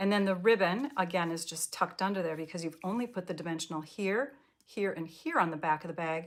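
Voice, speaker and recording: Talking at a very fast pace in an American accent, the voice shows ordinary pitch variation. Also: woman, fairly low pitch for a woman. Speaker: paper craft demonstrator. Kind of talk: live craft tutorial. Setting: live online class.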